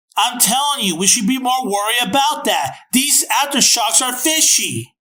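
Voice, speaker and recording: A man uses a put-on character voice. His pitch is extremely high. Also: moderate pace. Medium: fan dub. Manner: insistent, grumbling.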